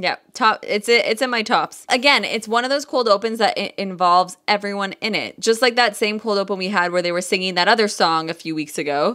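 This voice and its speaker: Loud and animated, the speaker talks fairly quickly with hardly any pauses, a bright, sharp tone and ordinary pitch variation. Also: woman, medium pitch for a woman. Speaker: podcast co-host and yoga instructor. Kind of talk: casual chat.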